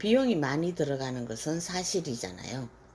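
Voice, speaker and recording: A woman speaks in a very deep, low voice with a dark, mellow tone. Her pitch swings very widely. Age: 60s. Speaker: stained glass instructor, retired teacher. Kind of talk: scripted self-introduction vlog.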